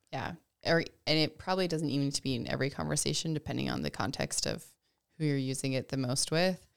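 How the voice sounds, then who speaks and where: Very fast and with vocal fry, a woman speaks in a very deep, low voice with ordinary pitch variation. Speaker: podcast guest, host's sister. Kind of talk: casual chat. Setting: video podcast recording.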